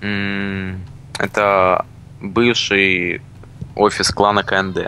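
With music playing in the background, a man talks in a fairly low pitch and a monotone, flat intonation. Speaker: gaming channel co-host.

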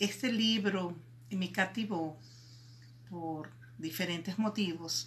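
At a very slow pace, a woman speaks in a warm yet bright, sharp tone with ordinary pitch variation. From Venezuela. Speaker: multi-artist. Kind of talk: personal introduction to camera. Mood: warm, appreciative. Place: home room. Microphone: phone near.

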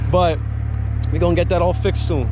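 A man's voice, noticeable background noise, dry sound without any echo. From New Jersey. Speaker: car YouTuber. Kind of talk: casual vlog walkaround. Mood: relaxed, a bit self-conscious. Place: street. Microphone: phone near.

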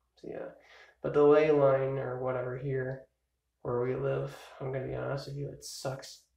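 A man at a moderate pace with long, frequent pauses and big swings in loudness, audible room echo, and a quiet background. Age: 20s. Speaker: vlogger. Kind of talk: casual birthday vlog monologue. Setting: filmed on a phone or camcorder at home, early morning. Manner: rambling with many fillers. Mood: relaxed, playful birthday musing. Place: home room. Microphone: phone near.

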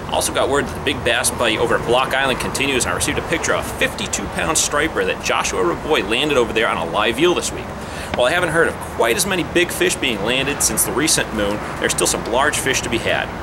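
Against loud background noise, a man talks fast at a medium pitch with big pitch swings.

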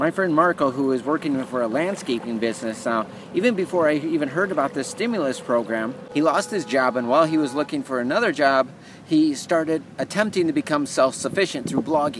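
The voice is a man's, at a fairly quick pace. Noticeable background noise sits under it. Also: dry sound with no echo. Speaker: vlogger promoting a program. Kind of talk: casual vlog chat. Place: beach. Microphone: phone near.

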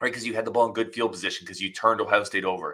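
A man's bright, sharp, animated tone against a quiet background. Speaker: sports podcast host. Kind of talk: casual sports analysis. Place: home room. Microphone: webcam.

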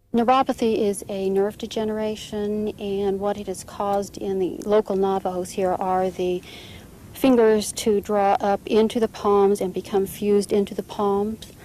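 A dark, mellow tone in monotone, flat intonation, with a dry sound with no echo and light background noise. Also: woman, moderate pace. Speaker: interviewee describing local health effects. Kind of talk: interview testimony. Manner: hesitant, with frequent fillers. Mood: serious, concerned. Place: open country.

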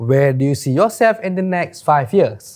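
With light noise behind him, a man speaks fairly slowly, his pitch swinging very widely. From Malaysia. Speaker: careers show host. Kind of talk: solo tutorial video. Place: studio. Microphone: lapel.

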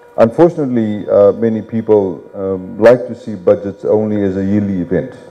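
This man, with his fairly low pitch and ordinary pitch variation, has an unremarkable speaking voice. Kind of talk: public address. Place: hall. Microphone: handheld.

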